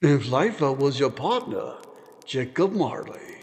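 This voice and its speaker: A man puts on a character voice, pitched fairly high and delivered fairly slowly. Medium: read story. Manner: grave, terse.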